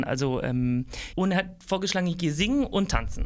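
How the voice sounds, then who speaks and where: This man's pitch is high. He keeps a moderate pace. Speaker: singer, former dancer. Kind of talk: interview.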